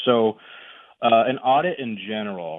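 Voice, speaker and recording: At a fairly slow pace, a man speaks in a normal speaking voice of medium pitch with ordinary pitch variation. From US Midwest. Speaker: annuity specialist. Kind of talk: radio interview. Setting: phone call.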